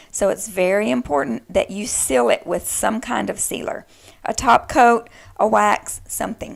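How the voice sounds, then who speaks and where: The speech has a Texan accent. It moves at a fairly slow pace. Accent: Texan, noted by self. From Texas. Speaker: DIY crafter. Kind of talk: tutorial. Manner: casual, chatty.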